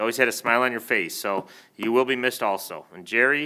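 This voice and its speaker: A loud, very fast male voice at a medium pitch. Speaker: village trustee, retired police officer. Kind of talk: board meeting remarks. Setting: village board meeting room.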